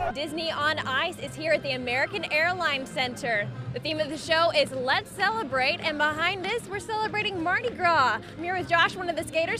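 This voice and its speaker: A woman's high, raised, projected voice at a fairly quick pace, with very wide pitch swings and noticeable background noise. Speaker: TV news reporter. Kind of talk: TV news report.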